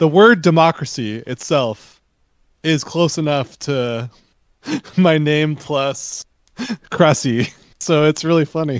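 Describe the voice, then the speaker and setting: Here a man with a Californian accent talks at a very slow pace, his voice fairly high. Long, frequent pauses break up his speech. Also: ordinary pitch variation, dry, close sound with no echo. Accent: California. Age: 30s. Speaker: podcast guest, dance game player. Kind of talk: casual chat.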